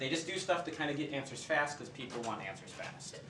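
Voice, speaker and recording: Audible room echo and noticeable background noise around a man speaking. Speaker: professor. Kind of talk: lecture. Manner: fast.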